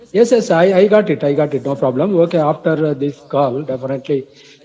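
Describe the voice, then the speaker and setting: A man talks at a moderate pace and a fairly high pitch as noticeable background noise carries on. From India, Andhra Pradesh. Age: 60s. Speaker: retired employee, English learner. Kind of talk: casual chat. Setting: phone call. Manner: halting.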